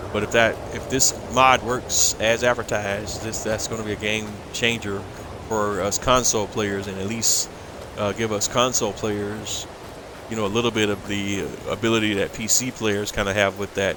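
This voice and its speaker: Over noticeable background noise, a man with a fairly low pitch speaks at a moderate pace in a flat, monotone intonation. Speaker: video game streamer. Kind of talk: gameplay commentary. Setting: livestream. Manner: casual, hesitant with fillers.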